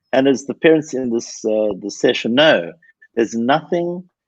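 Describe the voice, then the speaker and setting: At a moderate pace, this man speaks with lively intonation. His is a plain, everyday voice, pitched in the medium range. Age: 60s. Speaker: anger management expert. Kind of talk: podcast interview. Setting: live video stream.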